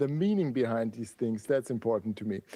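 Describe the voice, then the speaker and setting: A man's dark, mellow voice with an Austrian accent. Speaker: typography educator and designer. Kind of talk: podcast interview. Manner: animated.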